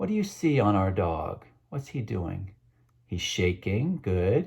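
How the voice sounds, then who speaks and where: A man talks very slowly in a fairly low, somewhat breathy voice with a dark, mellow, warm tone. His pitch swings very widely. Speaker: children's book author. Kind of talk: children's book read-aloud. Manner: warm, engaging, asks kids questions.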